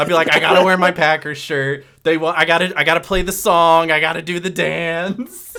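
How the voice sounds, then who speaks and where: A loud, fairly quick male voice, high-pitched, with a bright, sharp tone. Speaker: sports podcast host. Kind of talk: casual chat. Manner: animated.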